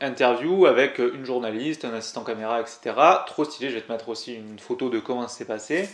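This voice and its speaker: In a Toulouse accent, a man speaks at a medium pitch with ordinary pitch variation. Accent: southern French (Toulouse). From Toulouse, southern France. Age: 20s. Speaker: climbing youtuber. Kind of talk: casual vlog storytelling. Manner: casual, hesitant with many fillers.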